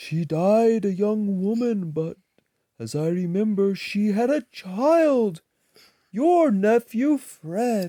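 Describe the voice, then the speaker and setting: In a put-on character voice, the speaker goes very slowly, soft-spoken and fairly high in pitch. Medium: read story. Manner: calm, gentle.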